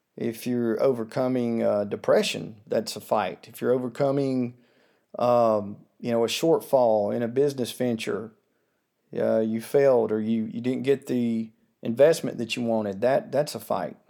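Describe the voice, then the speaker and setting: With an American accent, a man speaks at a moderate pace in a dark, mellow tone with fairly even intonation. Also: medium pitch for a man. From US South. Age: 40s. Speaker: podcast host. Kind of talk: solo commentary monologue.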